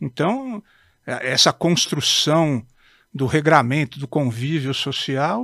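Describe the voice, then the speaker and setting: Recorded very cleanly with a silent background and a dry, close sound with no echo, a man speaks at a very slow pace. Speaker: judge. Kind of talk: casual chat. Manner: formal.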